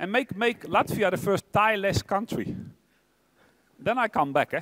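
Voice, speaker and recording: A man talks at a fairly quick pace with a Dutch accent. The sound is dry and close, with no echo. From Netherlands. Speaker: tech executive. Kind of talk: keynote speech. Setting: stage with audience. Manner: fast; animated.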